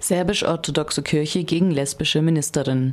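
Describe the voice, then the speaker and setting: A woman with a very deep, low voice speaks at a moderate pace with fairly even intonation over noticeable background noise. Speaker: news reader. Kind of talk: newsreading. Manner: formal.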